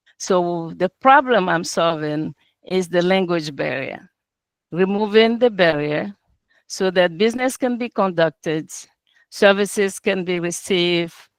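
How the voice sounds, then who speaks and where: In a non-native accent, a woman speaks at a fairly slow pace with ordinary pitch variation, the sound dry and close with no echo, on a very clean recording with a silent background. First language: not English. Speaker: entrepreneur presenting business, translator and interpreter. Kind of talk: business pitch presentation. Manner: halting, with filler words.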